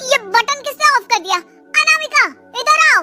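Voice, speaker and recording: Shouting in a squeaky put-on character voice, a woman keeps a moderate pace. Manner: shouting angrily.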